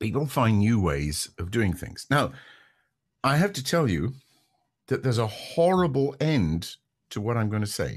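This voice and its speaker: Against a quiet background, a man with a medium pitch and a somewhat breathy voice speaks at a moderate pace, his pitch swinging very widely between long, frequent pauses. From Scotland. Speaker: radio broadcaster. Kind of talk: interview answer.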